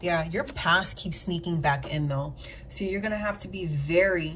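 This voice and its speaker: With audible room echo, a woman speaks fairly slowly in a somewhat breathy voice with ordinary pitch variation. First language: not English. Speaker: tarot reader. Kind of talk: live tarot reading. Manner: animated; sometimes tongue-tied.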